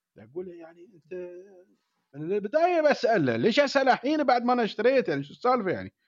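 A man with an Emirati accent talks fairly quickly at a high pitch, with very wide pitch swings and big swings in loudness. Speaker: podcast co-host, engineer. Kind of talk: casual chat.

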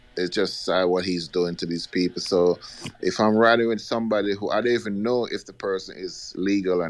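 Very deep and low, a man's voice keeps a fairly even intonation. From outside the US, immigrant. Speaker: caller. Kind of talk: call-in talk radio.

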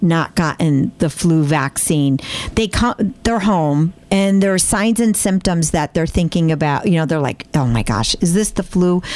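This woman has lively intonation. Her pitch sits fairly low. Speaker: health system podcast host. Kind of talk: interview. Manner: animated.

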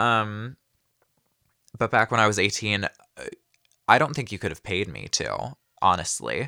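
Speaking at a fairly low pitch, a man has a bright, sharp tone with vocal fry, ordinary pitch variation, and big swings in loudness. Long, frequent pauses break up his speech, and the sound is dry and close with no echo. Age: 20s. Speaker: podcast host, film student. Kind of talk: personal storytelling monologue. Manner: hesitant, many fillers.

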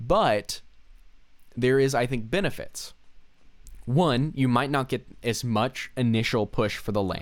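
At a medium pitch with ordinary pitch variation, a man speaks at a fairly slow pace with long, frequent pauses, in a very clean recording with a silent background. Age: 20s. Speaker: podcast co-host. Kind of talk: casual chat.

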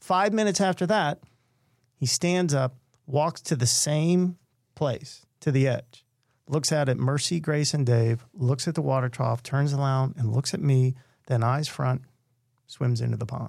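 Here a man speaks at a fairly slow pace, somewhat breathy and with a fairly high pitch. His pitch varies in an ordinary way on a very clean recording with a silent background. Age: 50s. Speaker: mental health speaker and storyteller. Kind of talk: storytelling interview.

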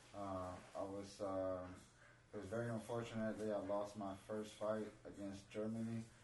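In a room with audible echo and noticeable background noise, a man with a fairly low pitch speaks in a monotone, flat way at a moderate pace. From Mexico. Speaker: Muay Thai fighter. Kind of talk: casual interview chat. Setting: studio.

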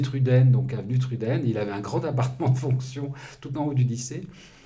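Somewhat breathy and dark, mellow in tone, a man's medium-pitched voice moves at a moderate pace with fairly even intonation and audible room echo. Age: 60s. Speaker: journalist and activist. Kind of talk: interview. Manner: halting.

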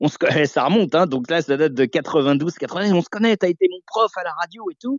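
Very wide pitch swings run through this man's high voice as he speaks at a fairly quick pace. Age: 40s. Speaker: radio host. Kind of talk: interview. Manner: halting.

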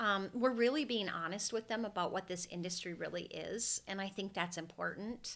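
Lively intonation in a Minnesota accent at a moderate pace, on a very clean recording with a silent background. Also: woman. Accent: Minnesota accent, noticeable. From Minnesota (Brainerd). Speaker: hair stylist and salon recruiter/trainer. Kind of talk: interview conversation.

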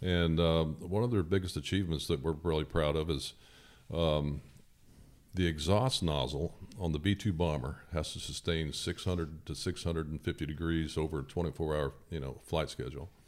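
On a very clean recording with a silent background, a man with an American accent and a very deep, low pitch speaks at a moderate pace with vocal fry and ordinary pitch variation. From southern Indiana. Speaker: firearms industry engineer. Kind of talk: casual interview. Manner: hesitant, many fillers.

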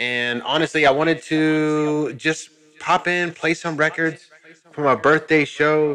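A man with an unremarkable speaking voice, fairly high in pitch, at a fairly slow pace and with fairly even intonation. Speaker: radio host. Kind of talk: radio DJ patter between tracks.

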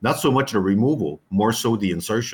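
The voice is somewhat breathy, with lively intonation and a fairly quick pace. The recording is very clean, with a silent background. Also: man. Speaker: retired contact lens lab owner. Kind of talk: interview.

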